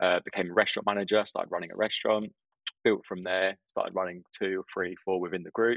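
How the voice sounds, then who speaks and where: In a southern English accent, a man with a very deep, low pitch talks at a very fast pace in a monotone, flat delivery. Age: 20s. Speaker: restaurant owner. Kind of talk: casual interview.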